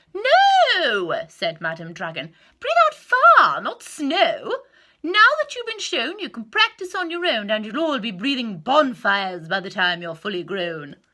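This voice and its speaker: A female-sounding put-on character voice, raised and projected, comes in a high pitch. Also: moderate pace. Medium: read story. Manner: commanding, teacherly.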